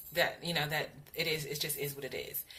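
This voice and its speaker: At a moderate pace, a woman speaks with a very deep, low pitch and monotone, flat intonation, with audible room echo around her. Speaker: vlogger sharing weight loss surgery journey. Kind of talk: casual video update. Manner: halting with fillers.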